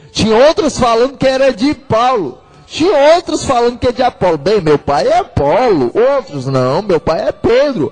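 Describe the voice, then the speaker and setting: A man speaks at a fairly slow pace in an extremely high pitch, his voice making very wide pitch swings over noticeable background noise. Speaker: preacher / radio evangelist. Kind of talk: sermon preached on a radio program. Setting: radio broadcast.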